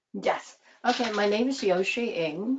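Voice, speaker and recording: A woman speaks with a Taiwanese accent. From Taiwan, then Japan from fourth grade. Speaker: medical interpreter. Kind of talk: panel discussion. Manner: halting.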